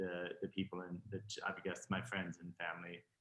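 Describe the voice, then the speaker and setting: A man with a Texan accent. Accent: faint Texan. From Texas. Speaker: fashion designer. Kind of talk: interview.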